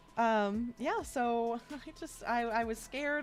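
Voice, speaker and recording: Music plays behind the speaker. She is a woman with an American accent. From US South, Atlanta, Georgia. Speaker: streamer. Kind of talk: casual live-stream chat. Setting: live stream.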